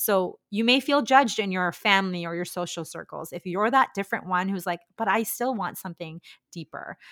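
A woman talks at a fairly quick pace in a Canadian accent, with medium pitch and ordinary pitch variation, in a plain, everyday voice. Her loudness swings widely, and the sound is dry and close with no echo. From India, moved to Canada at ten. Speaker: physiotherapist and postpartum fitness coach. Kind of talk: casual interview chat.

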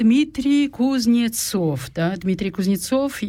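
A woman with a Kazakh accent talks at a fairly slow pace in a dark, mellow tone. Her intonation is lively, and the recording is very clean with a silent background. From Kazakhstan. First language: Kazakh (speaking Russian). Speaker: radio host. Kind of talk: bilingual radio talk show. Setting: studio.

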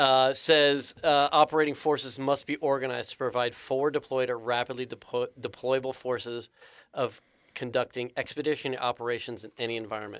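At a fairly quick pace, a man uses a plain, everyday voice of medium pitch with fairly even intonation, recorded with a dry, close sound with no echo. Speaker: podcast host. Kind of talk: interview. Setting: studio.

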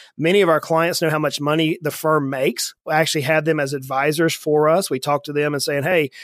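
A Southern US accent at a fairly quick pace, fairly even in intonation, on a very clean recording with a silent background. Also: man, dry, close sound with no echo. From US South, South Georgia. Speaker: financial advisor, firm founder. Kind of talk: interview conversation.

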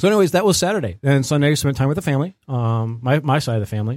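On a very clean recording with a silent background, a man with an American accent speaks with lively intonation. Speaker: podcast co-host. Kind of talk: casual chat.

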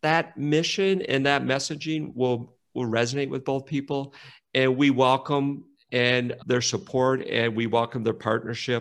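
Speaking in an ordinary speaking voice with an American accent, a man uses a medium pitch, ordinary pitch variation and a fairly slow pace. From rural Minnesota. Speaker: nonprofit executive. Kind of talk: interview conversation.

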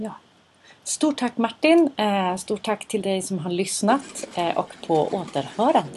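A woman speaks very slowly, with long, frequent pauses and a somewhat breathy sound. Her pitch is fairly high and swings very widely. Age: 40s. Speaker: podcast host. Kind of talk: casual chat. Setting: studio.

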